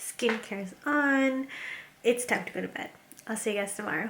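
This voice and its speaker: A woman speaks at a moderate pace with a high pitch and ordinary pitch variation. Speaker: vlogger. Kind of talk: casual vlog talk. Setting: at home. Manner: casual, filler-heavy.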